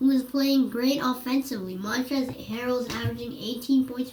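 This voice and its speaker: Noticeable background noise behind a woman's high pitch. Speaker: basketball analysis YouTuber. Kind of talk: casual sports commentary narration.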